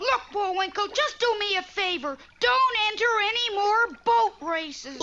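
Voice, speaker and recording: A cartoonish character voice sits at an extremely high pitch. It moves at a moderate pace. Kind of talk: mock courtroom speech.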